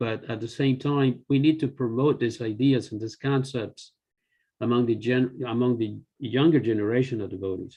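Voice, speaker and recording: With a normal speaking voice, a man talks at a moderate pace and medium pitch, his intonation fairly even. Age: 60s. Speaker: devotee and temple finance officer. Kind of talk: casual chat.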